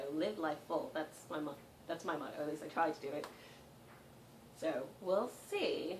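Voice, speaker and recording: A woman with an American accent and a very deep, low pitch speaks at a moderate pace with ordinary pitch variation and long, frequent pauses, amid audible room echo and noticeable background noise. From England. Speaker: vlogger. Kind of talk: casual chat. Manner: hesitant, many fillers.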